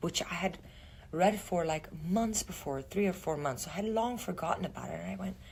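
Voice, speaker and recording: A woman with a non-native accent speaks at a moderate pace, her pitch swinging very widely. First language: not English. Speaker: actress. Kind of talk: interview. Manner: halting.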